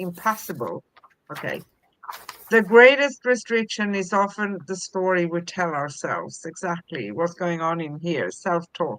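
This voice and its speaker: A woman speaks at a fairly slow pace in a fairly low pitch. Hers is a normal speaking voice with lively intonation. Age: 60s. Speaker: spiritual talk show co-host. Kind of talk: reading aloud; casual chat. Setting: live stream.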